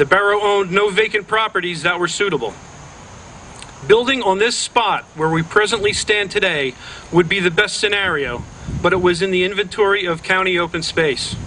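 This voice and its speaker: With noticeable background noise around him, a man uses a raised, projected voice at a high pitch with ordinary pitch variation. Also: fairly quick pace. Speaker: mayor of a small town. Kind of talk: public ceremony speech.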